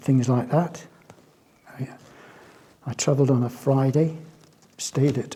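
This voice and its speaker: Somewhat breathy and dark, mellow in tone, a man speaks at a fairly high pitch and fairly slow pace with monotone, flat intonation. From England, Bristol. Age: 70s. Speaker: artist. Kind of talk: interview testimony. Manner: halting, hesitant.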